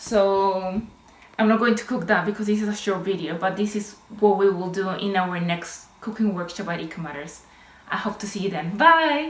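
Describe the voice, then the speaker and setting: A woman speaks at a moderate pace with a Spanish accent. Her pitch varies in an ordinary way, and the room echo is audible. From Chile. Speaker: naturopath and medical herbalist; cooking workshop host. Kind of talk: cooking tutorial. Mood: warm, friendly. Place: kitchen. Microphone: phone near.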